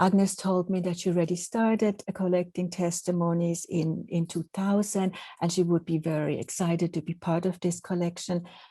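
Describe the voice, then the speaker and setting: With a Swiss accent, a woman speaks in a fairly low, somewhat breathy voice of dark, mellow tone, keeping a moderate pace with hardly any pauses and monotone, flat intonation. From Switzerland. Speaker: professor. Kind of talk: lecture. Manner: halting.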